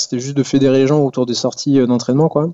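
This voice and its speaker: A man talks in a monotone, flat delivery at medium pitch. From western France (Poitiers). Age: 30s. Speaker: urban group ride organizer, IT worker, amateur cyclist. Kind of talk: casual interview. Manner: hesitant, many fillers.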